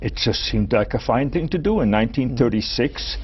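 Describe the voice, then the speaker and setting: The man's pace is fairly slow. He speaks with a German accent. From Chicago and rural Germany. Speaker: retired physics professor. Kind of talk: interview. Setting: studio. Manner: halting, repeats words.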